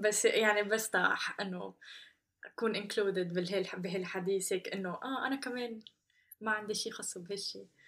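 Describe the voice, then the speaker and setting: A woman speaks at a moderate pace with fairly even intonation. She has a plain, everyday voice. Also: medium pitch for a woman. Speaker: podcast host. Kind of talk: casual chat, code-switching Arabic and English.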